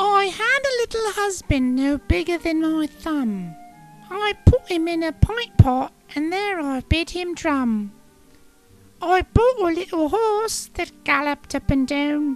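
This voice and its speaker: Over faint music in the background, a put-on character voice with a high pitch and a playful tone speaks at a fairly slow pace. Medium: read story. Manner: fond, playful.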